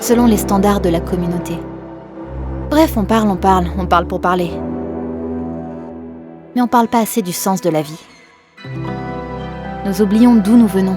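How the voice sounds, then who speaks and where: Music plays behind a woman speaking at a moderate pace. She uses ordinary pitch variation and long, frequent pauses. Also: medium pitch for a woman. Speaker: voice-over actress, dubbing actress and nursery rhyme singer. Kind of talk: reflective monologue to camera about the meaning of life.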